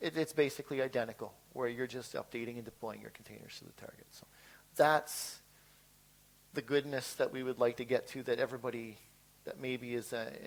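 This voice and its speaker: A man talks at a fairly quick pace with a medium pitch. His intonation stays fairly even while his loudness swings widely. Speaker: software engineer giving a conference talk. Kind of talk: conference presentation. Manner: fast; halting with many fillers and repeats.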